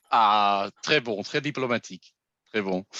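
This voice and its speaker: With a non-native accent and a bright, sharp tone, a man speaks at a fairly slow pace with lively intonation, against a quiet background and a dry, close sound with no echo. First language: not French (speaking French). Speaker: masterclass host. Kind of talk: online tasting masterclass. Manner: halting.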